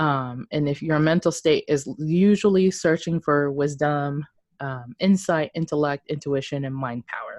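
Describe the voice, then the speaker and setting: A woman at a fairly slow pace with a very deep, low pitch, the sound dry and close with no echo. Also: ordinary pitch variation. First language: not English. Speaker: podcast co-host. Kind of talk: casual chat. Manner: hesitant, many fillers.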